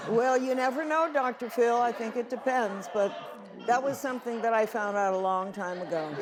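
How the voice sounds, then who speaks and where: Over crowd noise and audible room echo, a woman with a fairly high pitch talks at a moderate pace with ordinary pitch variation. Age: 80s+. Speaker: returning talk show guest looking for a date. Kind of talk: talk show interview.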